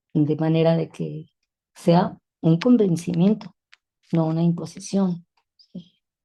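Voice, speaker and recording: A woman speaks with a somewhat breathy, dark, mellow tone at a fairly low pitch. Her pitch varies in an ordinary way. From Mexico City. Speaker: feminist educator. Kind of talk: interview conversation. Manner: halting.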